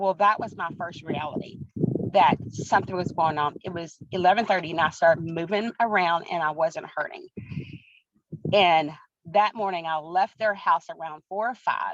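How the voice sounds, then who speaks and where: A woman with a fairly low pitch and an American accent speaks at a moderate pace in an animated tone. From Texas, Breckenridge. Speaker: track coach and wellness product seller. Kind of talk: personal testimony in an interview.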